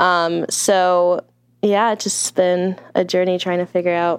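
Speaking fairly slowly, a woman with an American accent has a fairly low pitch. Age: 20s. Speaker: restaurant worker. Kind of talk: interview.

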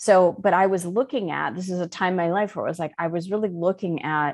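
A woman speaks in a plain, everyday voice with ordinary pitch variation over a quiet background. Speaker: life coach and spiritual teacher. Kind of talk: interview.

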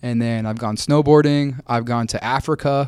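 In a very clean recording with a silent background, a man with a normal speaking voice talks at a moderate pace, with a medium pitch and fairly even intonation. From Kansas, US Midwest. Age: 20s. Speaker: podcast guest, content creator and student. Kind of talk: casual chat.

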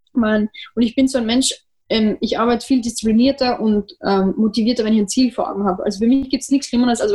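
Very fast speech, somewhat breathy, with fairly even intonation. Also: woman. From Austria. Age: 20s. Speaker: trumpeter. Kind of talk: interview.

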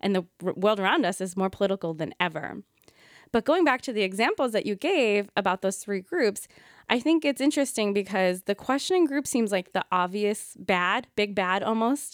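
In a plain, everyday voice with an American accent, the speaker uses lively intonation at a moderate pace, with a dry, close sound, no echo, and a very clean recording with a silent background. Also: woman, medium pitch for a woman. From US, Indian American. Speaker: podcast co-host, yoga teacher. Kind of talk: casual conversational podcast.

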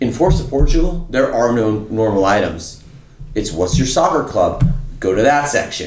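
Loud and animated, a man speaks at a medium pitch and moderate pace, his pitch swinging very widely over noticeable background noise. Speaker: podcast co-host. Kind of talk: casual chat.

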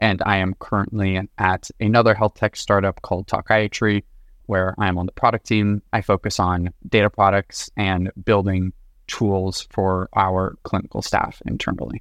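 A man speaks at a moderate pace with monotone, flat intonation. The sound is dry and close with no echo, and the background is quiet. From US West Coast, Los Angeles. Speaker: product manager, data expert. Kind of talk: interview.

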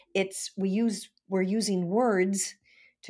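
A woman in an American accent, medium in pitch, fairly even in intonation, at a very slow pace. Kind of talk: interview.

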